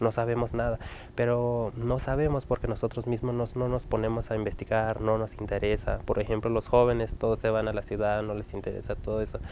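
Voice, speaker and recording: Faint music plays behind a man talking at a fairly quick pace, medium in pitch, with monotone, flat intonation. The sound is dry with no echo. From Chihuahua, Mexico. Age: young. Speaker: interviewee. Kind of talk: interview testimony. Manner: halting, many fillers. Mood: serious, concerned.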